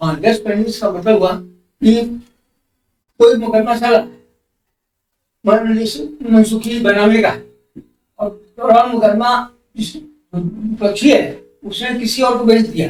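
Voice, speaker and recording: With music playing in the background, a man speaks at a high pitch. He leaves long, frequent pauses and keeps his intonation fairly even. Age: 70s. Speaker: senior civil lawyer. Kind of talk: interview answer.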